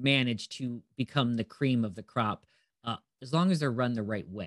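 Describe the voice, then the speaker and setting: A man with a Midwestern American accent talks at a fairly slow pace with ordinary pitch variation. The sound is dry and close with no echo, over a quiet background. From US Midwest (Northeast Ohio). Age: 40s. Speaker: cannabis business educator. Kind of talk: casual interview. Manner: hesitant with many filler words.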